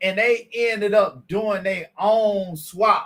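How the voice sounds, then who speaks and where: In a high pitch, a man speaks in an animated tone. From Columbus, Georgia (US South). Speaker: car mechanic and livestream host. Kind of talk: livestream chat with viewers. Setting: live stream.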